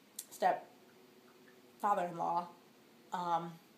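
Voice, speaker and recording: A woman speaks with a fairly low pitch. Room echo is audible. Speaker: vlogger. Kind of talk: casual vlog update. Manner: fast.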